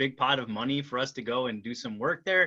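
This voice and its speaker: This man talks at a fairly quick pace. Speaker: archaeologist. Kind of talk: Q&A session. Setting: video call. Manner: fast.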